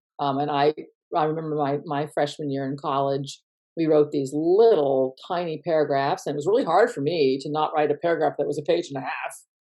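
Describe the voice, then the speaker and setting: A woman speaks at a fairly quick pace in a very deep, low voice with fairly even intonation. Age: 60s. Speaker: literature professor. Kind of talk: casual chat. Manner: halting.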